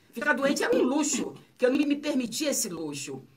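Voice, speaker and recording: Audible room echo and noticeable background noise surround a woman speaking at a fairly quick pace. Her high voice swings very widely in pitch. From Bahia, Brazil (Itabuna). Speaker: author. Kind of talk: radio interview. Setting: radio studio.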